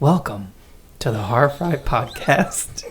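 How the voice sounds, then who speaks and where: Someone with an American accent speaks at a very slow pace over noticeable background noise. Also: man. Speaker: podcast host. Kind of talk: casual chat; scripted intro.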